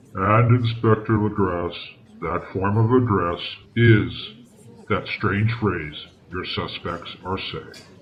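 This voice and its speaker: A man's put-on character voice at a fairly slow pace, with long, frequent pauses. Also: fairly low pitch for a man. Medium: audio drama. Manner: measured, earnest.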